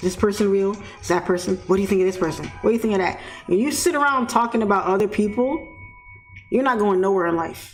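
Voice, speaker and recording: Over music in the background, a woman with a New York accent speaks at a very fast pace in an animated tone, at medium pitch with ordinary pitch variation. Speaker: forex trader and trading mentor. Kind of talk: live-stream commentary to chat. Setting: live stream. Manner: blunt, animated.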